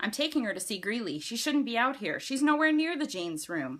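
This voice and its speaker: A woman growls in a put-on character voice with a fairly high pitch. Her pitch swings very widely and her pace is fairly quick. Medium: read story. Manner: growling, snarling.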